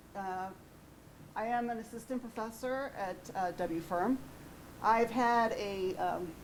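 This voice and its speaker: In a room with audible echo, a woman speaks at a very slow pace with long, frequent pauses. Her voice is fairly high, with ordinary pitch variation. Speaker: research scientist, professor. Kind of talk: lecture. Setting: auditorium with audience, PA system. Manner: loud.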